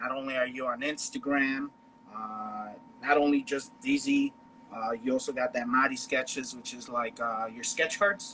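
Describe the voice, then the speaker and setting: A man with a Chicago accent speaks at a moderate pace. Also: medium pitch for a man, ordinary pitch variation. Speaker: podcast host. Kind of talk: casual chat.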